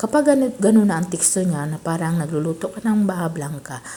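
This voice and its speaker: A woman's fairly low voice with lively intonation, over noticeable background noise. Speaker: cooking content creator. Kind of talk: cooking voice-over tutorial. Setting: voice-over.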